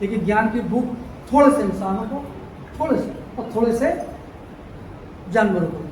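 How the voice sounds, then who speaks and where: The recording carries audible room echo. Noticeable background noise runs underneath. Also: man. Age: 60s. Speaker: Ambedkarite social activist speaker. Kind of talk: public speech. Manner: animated.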